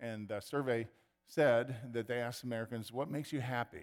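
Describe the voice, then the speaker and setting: Ordinary pitch variation shapes a man's medium-pitched voice. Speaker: pastor. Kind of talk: sermon. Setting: church. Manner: halting.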